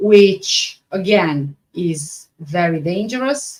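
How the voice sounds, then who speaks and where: A woman at a medium pitch speaks in a Romanian accent. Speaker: true crime YouTuber. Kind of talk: live stream reading and chat reaction. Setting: live stream. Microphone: microphone issues, sound not the best.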